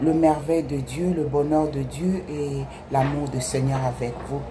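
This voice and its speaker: A woman with a Congolese accent speaks very slowly at a very deep, low pitch, with audible room echo and noticeable background noise. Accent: non-native French, Congolese. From DR Congo, Kinshasa. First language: Lingala (speaking French). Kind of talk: religious testimony. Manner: halting.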